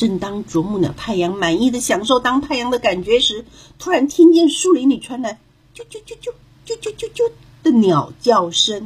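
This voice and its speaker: A woman speaks at a high pitch in a soothing, gentle tone. Her pitch swings very widely and her loudness shifts in big swings. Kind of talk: children's fairy-tale narration, scripted storytelling read aloud.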